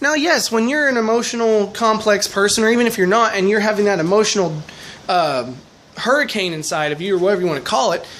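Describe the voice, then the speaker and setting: Against noticeable background noise, the words come out at a very fast pace. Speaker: vlogger. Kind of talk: advice vlog monologue. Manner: loud.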